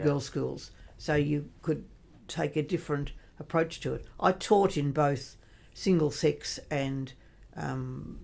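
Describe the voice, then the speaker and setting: On a very clean recording with a silent background, a woman with an Australian accent speaks with long, frequent pauses. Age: 80s+. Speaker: retired teacher and religious sister. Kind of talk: podcast interview answer. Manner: quick-witted, lively.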